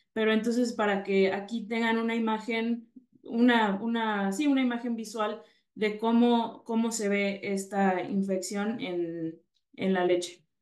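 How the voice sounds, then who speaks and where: A woman speaks in a Mexican accent at a fairly slow pace, her intonation fairly even. The room echo is audible, and the background is quiet. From Mexico. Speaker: veterinarian, dairy specialist; presenter. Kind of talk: webinar presentation. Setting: video webinar. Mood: calm, informative. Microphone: webcam.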